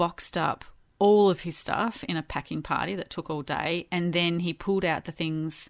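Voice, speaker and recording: A woman with an Australian accent speaks at a moderate pace, her pitch very deep and low, her intonation fairly even. The recording is very clean, with a silent background. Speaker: podcast co-host. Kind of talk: casual podcast conversation.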